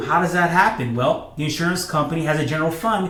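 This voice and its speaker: A man at a fairly quick pace with fairly even intonation, amid noticeable background noise and audible room echo. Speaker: financial educator. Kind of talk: explainer video. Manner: fast; many fillers and repetitions.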